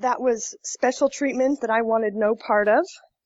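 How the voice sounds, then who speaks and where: With an unremarkable speaking voice, a woman talks at a fairly high pitch and a moderate pace, with ordinary pitch variation. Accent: American. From Colorado, US. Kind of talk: interview.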